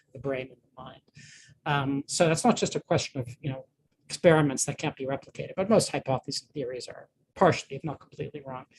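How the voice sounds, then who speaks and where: A man talks very fast in a fairly high, somewhat breathy voice, with ordinary pitch variation. His loudness swings widely, and the sound is dry and close with no echo. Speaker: neuroscience professor giving a guest lecture. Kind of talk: lecture.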